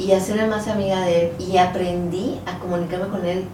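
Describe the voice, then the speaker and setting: With audible room echo and noticeable background noise, a woman speaks at a medium pitch and a fairly slow pace. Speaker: fitness instructor. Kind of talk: casual chat.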